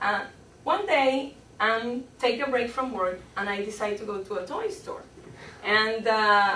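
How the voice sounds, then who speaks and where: Speaking fairly slowly with a Spanish accent, a woman uses a fairly high pitch and ordinary pitch variation, with noticeable background noise and audible room echo. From Colombia. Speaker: public speaking club member. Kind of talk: humorous speech.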